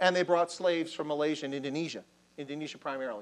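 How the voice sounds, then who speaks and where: A man at a fairly high pitch, talking at a very fast pace with ordinary pitch variation. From Baltimore, US. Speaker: army officer lecturing on Africa. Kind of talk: lecture. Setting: lecture hall with audience, microphone. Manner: animated. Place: hall. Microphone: lapel.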